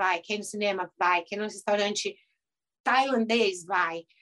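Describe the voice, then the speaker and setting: The woman's tone is bright and sharp, set at a medium pitch. She talks at a moderate pace with fairly even intonation. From Brazil, São Paulo. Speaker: dentist turned house cleaner and youtuber. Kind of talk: casual interview.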